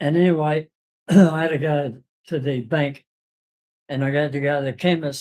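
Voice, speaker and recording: An Australian accent at a moderate pace. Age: 80s+. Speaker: retiree at a community centre. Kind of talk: casual chat. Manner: halting.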